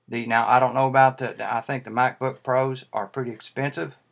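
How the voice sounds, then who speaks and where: With a Tennessee accent, a man speaks at medium pitch with fairly even intonation. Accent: Tennessee southern. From US South, Tennessee. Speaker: YouTuber, Mac fan. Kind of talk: casual video response vlog. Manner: halting, many fillers.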